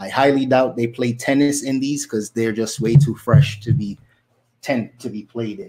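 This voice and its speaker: A man speaks with fairly even intonation amid noticeable background noise. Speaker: online reseller. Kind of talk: casual vlog chat. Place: home room. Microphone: studio mic.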